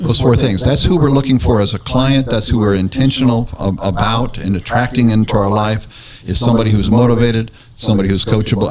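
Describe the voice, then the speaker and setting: Background noise is noticeable here. Over it, a man delivers his words very fast. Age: 60s. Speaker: real estate radio show host. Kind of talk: casual radio talk show interview.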